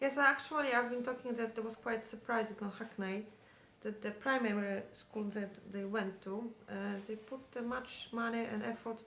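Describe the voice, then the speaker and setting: Speaking with a Polish accent, a woman uses a fairly high pitch, fairly even intonation and a moderate pace, with noticeable background noise and audible room echo. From Poland. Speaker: parent of teenager. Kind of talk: interview.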